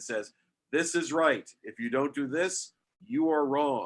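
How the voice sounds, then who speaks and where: A man speaks with an American accent at a fairly high pitch. It is a plain, everyday voice. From New York, Westchester County. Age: 60s. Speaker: architect. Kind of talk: interview.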